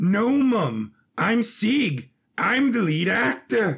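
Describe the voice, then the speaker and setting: A man's put-on character voice, high in pitch, at a very slow pace. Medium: audio drama. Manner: nervous, polite.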